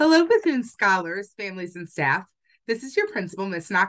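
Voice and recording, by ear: Behind the voice, the background stays quiet. The text is read aloud naturally.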